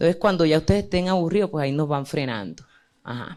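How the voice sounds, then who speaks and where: In a very clean recording with a silent background, a woman speaks at a very deep, low pitch with ordinary pitch variation. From Colombian Caribbean. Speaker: journalist and panel moderator. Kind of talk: panel discussion. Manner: hesitant, many fillers.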